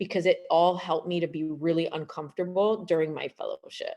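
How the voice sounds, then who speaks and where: In a Canadian accent, a woman with a plain, everyday voice speaks at a fairly low pitch with fairly even intonation. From Canada, Montreal. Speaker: gynecologist. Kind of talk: presentation.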